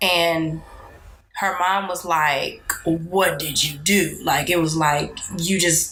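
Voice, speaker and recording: A woman speaks with a fairly low pitch. Room echo is audible. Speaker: podcast co-host. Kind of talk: casual chat. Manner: animated.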